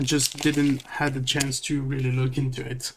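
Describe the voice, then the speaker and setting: A man speaks with a non-native accent. His pitch is fairly high. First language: not English. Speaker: card opening video creator. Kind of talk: card pack opening commentary. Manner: hesitant, many fillers. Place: home room.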